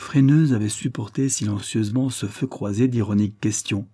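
What we hear is an unforced reading voice.

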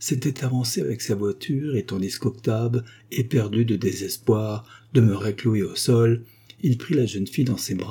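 Ordinary pitch variation in plain reading aloud

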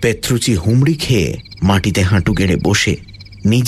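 Pitch variation is ordinary as the text is read aloud in a natural voice.

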